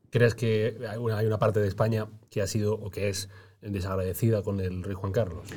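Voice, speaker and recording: A man speaks at a fairly quick pace and fairly low pitch with monotone, flat intonation. His voice is somewhat breathy with a dark, mellow tone, in a very clean recording with a silent background. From Granada, Spain. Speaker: podcast interviewer. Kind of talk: casual interview.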